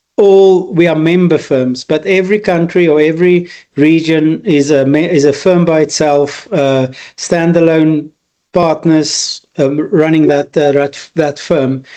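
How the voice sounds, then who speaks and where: The voice has a dark, mellow tone and an Afrikaans South African accent, with very even loudness. It moves at a fairly slow pace with fairly even intonation. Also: man, fairly high pitch for a man. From rural South Africa. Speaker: business consultant. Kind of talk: interview. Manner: halting, many repeated words.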